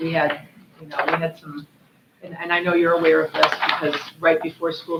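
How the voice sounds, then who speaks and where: Over noticeable background noise, a woman speaks at a fairly low pitch with monotone, flat intonation. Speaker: school district administrator. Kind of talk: board meeting report. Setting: public board meeting. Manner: loud; halting, many fillers.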